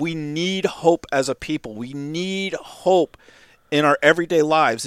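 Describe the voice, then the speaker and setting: A man with an ordinary speaking voice, fairly high pitch and ordinary pitch variation, on a very clean recording with a silent background. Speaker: podcast co-creator. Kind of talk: casual interview chat.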